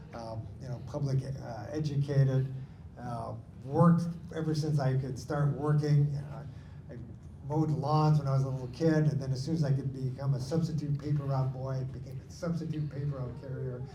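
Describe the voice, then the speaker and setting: A man with an American accent speaks at fairly high pitch in a monotone, flat intonation, with audible room echo and noticeable background noise. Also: moderate pace. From Washington State, US (Lakewood near Tacoma). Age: 60s. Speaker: supreme court candidate, attorney. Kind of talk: candidate forum answer. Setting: in-person community forum.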